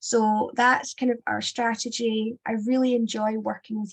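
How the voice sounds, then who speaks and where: Somewhat breathy and in a Scottish accent, a woman speaks at a fairly high pitch with monotone, flat intonation. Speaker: sex education consultant and former teacher. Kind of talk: webinar presentation. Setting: online webinar.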